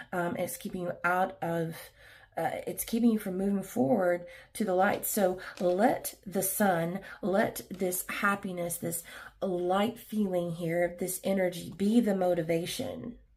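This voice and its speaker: Somewhat breathy speech from a woman, fairly slow in pace. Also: medium pitch for a woman. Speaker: tarot reader. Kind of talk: tarot reading. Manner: animated.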